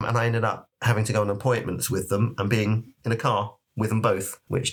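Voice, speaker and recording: A man talks at a fairly quick pace, his medium-pitched voice somewhat breathy. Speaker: podcast co-host. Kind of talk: casual chat. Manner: conversational.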